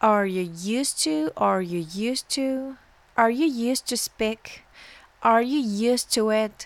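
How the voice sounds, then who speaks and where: At a very slow pace, a woman with a fairly high voice speaks with lively intonation. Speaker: English teacher. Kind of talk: language lesson. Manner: slow, repetitive drilling.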